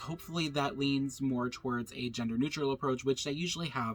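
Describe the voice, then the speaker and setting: Speaking fairly quickly, a man has a fairly high pitch. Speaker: video blogger. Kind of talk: casual vlog monologue. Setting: at home. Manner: animated; loud.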